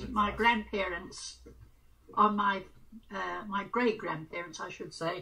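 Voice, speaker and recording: A woman talks while noticeable background noise is heard. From England. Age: 80s+. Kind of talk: interview answer.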